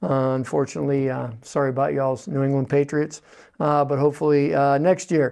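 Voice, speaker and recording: A man with a Western Pennsylvania accent, fairly quick pace and fairly even intonation. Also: fairly high pitch for a man. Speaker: veterans agent, TV forum host. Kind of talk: interview. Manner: hesitant, many filler words.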